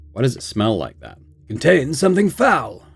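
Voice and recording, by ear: Text is read aloud here in a natural voice.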